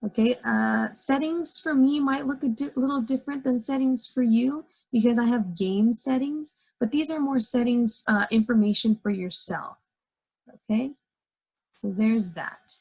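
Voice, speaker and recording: Her voice is high in pitch for a woman, with ordinary pitch variation. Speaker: teacher. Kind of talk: tutorial. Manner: fast.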